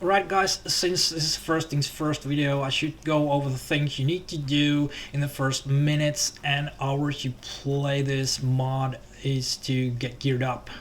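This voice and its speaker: Fairly slow and fairly even in intonation, a man with a Finnish accent speaks at a fairly high pitch. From Finland. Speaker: gaming YouTuber. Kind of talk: game tutorial commentary. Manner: hesitant, many fillers.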